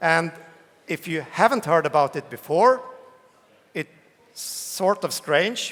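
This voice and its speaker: The speech comes at a very slow pace in a Swedish accent. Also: man. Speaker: tech company CEO, keynote speaker. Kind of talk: conference keynote. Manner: hesitant, with fillers.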